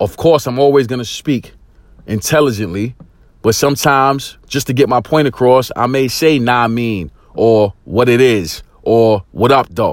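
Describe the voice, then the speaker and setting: A man speaks at medium pitch and a moderate pace. His tone is intense and excited, with ordinary pitch variation. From East New York, Brooklyn, US. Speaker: motivational podcaster and life coach. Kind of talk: motivational monologue. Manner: intense, excited delivery; frequent fillers and repetitions.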